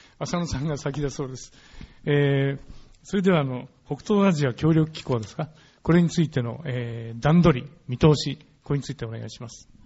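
Loudness swings widely as this man speaks, somewhat breathy. His pitch is fairly high, with ordinary variation. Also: moderate pace. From Japan. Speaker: moderator, journalist. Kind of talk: debate moderation. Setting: stage with audience.

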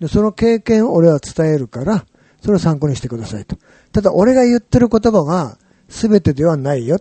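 Speaking at a moderate pace, a man uses a high pitch. His pitch swings very widely. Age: 70s. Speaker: horror manga artist and professor. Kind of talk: interview. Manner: casual.

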